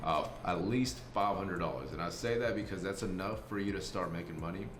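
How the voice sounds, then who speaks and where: A man talks at a fairly quick pace in a fairly low pitch. Noticeable background noise and audible room echo surround him. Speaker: trading content creator. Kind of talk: casual Q&A. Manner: monotone.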